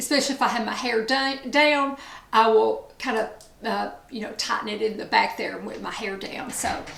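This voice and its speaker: With an East Tennessee accent, a woman speaks in a high pitch at a moderate pace, with noticeable background noise and audible room echo. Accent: Southern US (East Tennessee). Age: 60s. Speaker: beauty vlogger. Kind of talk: casual chat.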